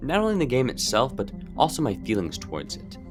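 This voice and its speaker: A man talks with very wide pitch swings. Background music can be heard behind him. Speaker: video game reviewer. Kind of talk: game review narration.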